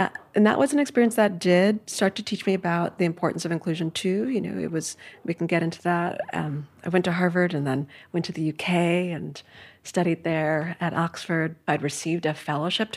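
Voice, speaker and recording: A woman's normal speaking voice, fairly low in pitch, at a fairly quick pace with ordinary pitch variation, on a very clean recording with a silent background. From New York City, Manhattan. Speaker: art history professor. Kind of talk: casual interview.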